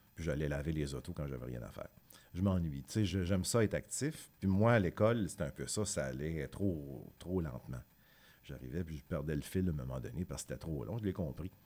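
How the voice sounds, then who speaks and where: The tone is dark and mellow, with vocal fry throughout. Intonation is lively and the pace fairly quick. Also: man, very deep, low pitch for a man. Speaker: musician. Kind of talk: interview.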